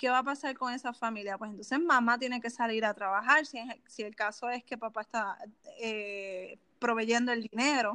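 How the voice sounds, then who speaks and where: Against a quiet background, a woman with a Puerto Rican accent speaks at a moderate pace, her fairly high pitch keeping a fairly even intonation. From Puerto Rico (Canóvanas). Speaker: personal finance specialist. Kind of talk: interview.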